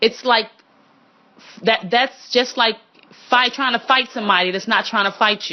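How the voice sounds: A woman with a fairly high pitch speaks at a moderate pace with ordinary pitch variation.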